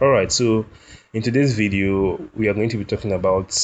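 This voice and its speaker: Fairly low in pitch, a man talks with a non-native accent. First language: not English. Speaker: game tool developer. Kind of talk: software tutorial. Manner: halting with self-corrections.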